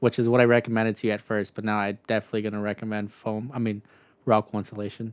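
A man's fairly low voice at a very fast pace, flat and monotone in intonation. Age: 20s. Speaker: podcast co-host and construction business owner. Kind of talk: casual chat.

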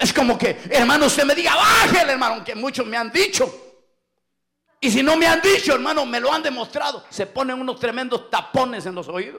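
Raised and projected, a man's extremely high voice has an animated tone and lively intonation at a fairly quick pace. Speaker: pastor. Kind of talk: sermon. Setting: church. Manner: loud.

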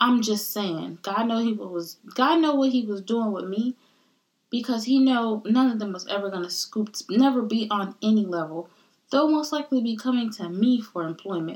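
With an American accent and an animated tone, a woman speaks at a moderate pace and fairly high pitch, with ordinary pitch variation. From US, Caribbean heritage family. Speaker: podcast host. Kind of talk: casual solo monologue.

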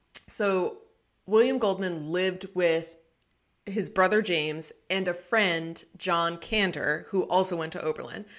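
A woman with a plain, everyday voice speaks at a fairly slow pace, her medium pitch held in fairly even intonation. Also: very clean recording, silent background. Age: 20s. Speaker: librarian and book podcast co-host. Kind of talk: casual chat.

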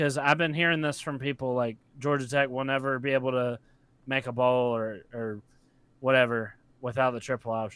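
In a very clean recording with a silent background, a man with an unremarkable speaking voice talks at a moderate pace, medium pitch and fairly even intonation. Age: 20s. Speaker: sports content creator. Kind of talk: casual sports discussion.

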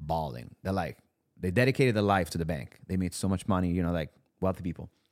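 The speaker has an Italian accent and ordinary pitch variation. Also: man, very clean recording, silent background. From Italy. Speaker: content creator and male model. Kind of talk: casual interview. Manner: casual, laughs often.

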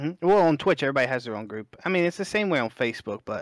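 A man with a Southern US accent speaks at a very fast pace with lively intonation. The sound is dry and close with no echo, on a very clean recording with a silent background. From Alabama, US South. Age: 20s. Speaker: competitive gamer and streamer. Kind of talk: casual chat.

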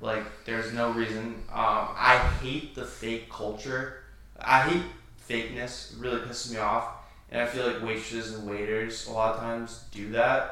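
Over noticeable background noise, a man speaks at medium pitch and a moderate pace in a flat monotone. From western Vermont. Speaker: podcast host. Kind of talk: casual chat.

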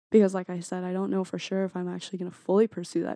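A woman talks at a very fast pace with an American accent. The sound is dry and close, with no echo. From US Midwest (Carmel, Indiana). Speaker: college student. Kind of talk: casual chat.

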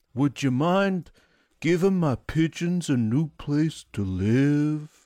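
Dry and close with no echo, a man does a put-on character voice at a fairly high pitch, moving at a very slow pace with very even loudness. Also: lively intonation. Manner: polite, requesting.

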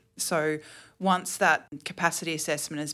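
In an Australian accent, a woman speaks at a very deep, low pitch with ordinary variation. The recording is very clean, with a silent background. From Queensland, Australia (Toowoomba). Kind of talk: podcast interview.

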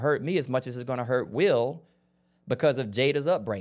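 Recorded very cleanly against a silent background, a man with a medium-pitched voice speaks at a moderate pace. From Florida. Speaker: podcast host and relationship coach. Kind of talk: solo commentary monologue.

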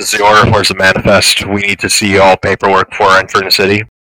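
A put-on character voice rattles along at a very fast pace in a monotone, flat intonation. The sound is dry and close, with no echo. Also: man, fairly low pitch for a man. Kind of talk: official, authoritative.

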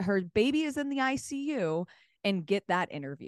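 A woman with a medium pitch speaks at a fairly slow pace in an animated tone with very wide pitch swings, the sound dry and close with no echo against a quiet background. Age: 20s. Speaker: CrossFit sideline reporter and broadcaster. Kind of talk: casual interview chat.

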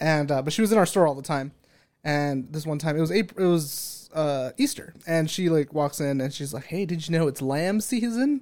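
With an American accent, a man speaks in a plain, everyday voice, fairly high in pitch with ordinary pitch variation. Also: moderate pace. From California, San Bernardino. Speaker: unpaid podcast intern. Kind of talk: casual chat.

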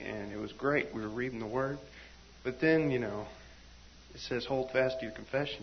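Noticeable background noise surrounds a man speaking at a fairly quick pace. His medium-pitched voice keeps a fairly even intonation. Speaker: church member. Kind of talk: testimony. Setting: church meeting with live audience.

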